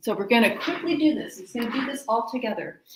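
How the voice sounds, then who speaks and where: A woman's fairly high, lively voice, a plain, everyday voice. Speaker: wellness teacher. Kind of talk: guided exercise class.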